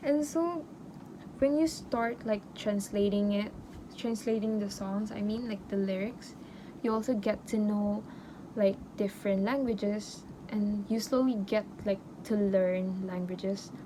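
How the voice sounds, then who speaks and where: A woman at a medium pitch, somewhat breathy and fairly slow, with ordinary pitch variation and long, frequent pauses. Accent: non-native. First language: not English. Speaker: university student. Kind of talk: casual podcast talk to camera.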